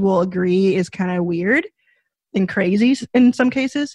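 A woman with a somewhat breathy voice speaks at a moderate pace with ordinary pitch variation against a quiet background. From US South, Dallas, Texas. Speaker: venture capitalist, fund founder. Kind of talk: podcast interview. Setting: studio.

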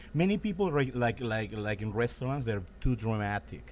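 Someone with a Mexican accent talks at a fairly quick pace on a very clean recording with a silent background. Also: man. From Mexico. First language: Spanish. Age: 50s. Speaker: restaurant owner and former street artist. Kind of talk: casual chat. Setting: restaurant. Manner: animated.

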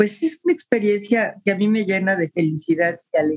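The voice has a Mexican accent. The sound is dry and close, with no echo. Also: woman. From Mexico City. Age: 70s. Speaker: retired teacher and social worker. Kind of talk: interview, personal life story.

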